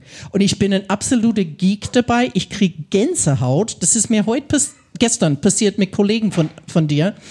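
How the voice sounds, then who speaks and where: A woman with a somewhat breathy, dark, mellow tone speaks at a medium pitch and a moderate pace, with lively intonation and very even loudness. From US Midwest, Ohio. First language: English (speaking German). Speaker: English teacher. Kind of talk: live podcast conversation. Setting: stage with audience.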